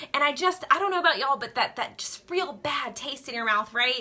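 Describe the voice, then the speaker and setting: Projecting a raised voice in an American accent, a woman sounds animated, with lively intonation and a bright, sharp tone. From Louisiana. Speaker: direct sales skincare seller. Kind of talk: Facebook live talk.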